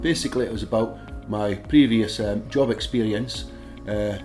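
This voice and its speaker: Over music in the background, a speaker with a Dundee accent talks at a moderate pace with ordinary pitch variation. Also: man. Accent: Scottish (Dundee). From Dundee, Scotland. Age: 60s. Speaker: ship maintenance worker. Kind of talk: interview answer.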